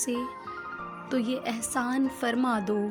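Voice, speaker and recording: A woman speaks at a high pitch with fairly even intonation. Music plays in the background. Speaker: voiceover artist. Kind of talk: poetry reading. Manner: emotional, tender.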